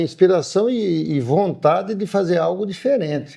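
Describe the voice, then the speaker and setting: This man's high-pitched, dark and mellow voice swings very widely in pitch as he speaks at a moderate pace. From Paraná, Brazil. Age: 60s. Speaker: farmer and agribusiness owner. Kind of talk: interview.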